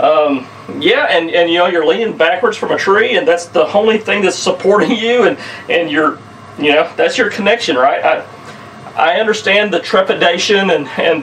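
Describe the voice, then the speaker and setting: Someone with a Southern US accent speaks at a moderate pace, with ordinary pitch variation and very even loudness, over noticeable background noise. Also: man. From US South, southern Missouri. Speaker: outdoors video creator, saddle hunter. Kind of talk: casual tutorial. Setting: indoors, archery room at home. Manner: casual, repetitive with false starts.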